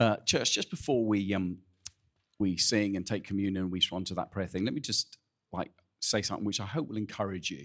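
A man with a plain, everyday voice, fairly low in pitch, at a fairly quick pace with ordinary pitch variation. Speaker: church pastor. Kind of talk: casual welcome and announcements. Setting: church.

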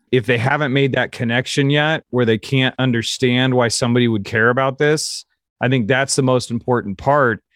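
An unremarkable speaking voice, this man has an American accent and a medium pitch. He speaks at a moderate pace with fairly even intonation and very even loudness. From US Midwest, Kansas City. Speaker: advertising creative director. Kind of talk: interview.

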